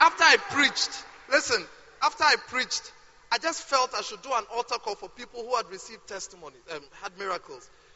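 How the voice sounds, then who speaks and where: Noticeable background noise accompanies a voice with lively intonation. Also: man. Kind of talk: sermon. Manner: animated.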